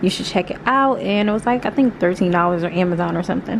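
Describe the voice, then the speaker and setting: A woman with an American accent speaks at a medium pitch, with noticeable background noise behind her. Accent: American English, casual with y'all. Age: 20s. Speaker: lifestyle vlogger. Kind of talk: casual vlog talk to camera. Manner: casual, chatty.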